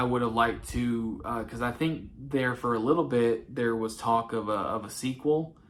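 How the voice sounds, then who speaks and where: Moderate pace in a Southern accent. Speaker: movie collector YouTuber. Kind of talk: casual monologue. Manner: halting, many fillers.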